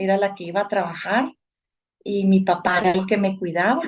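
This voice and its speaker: In a Guatemalan accent, a woman talks at a fairly slow pace. Her pitch sits in the medium range. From Guatemala, Guatemala City and Suchitepéquez countryside. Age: 50s. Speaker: spiritual devotee sharing life story. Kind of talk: personal testimony.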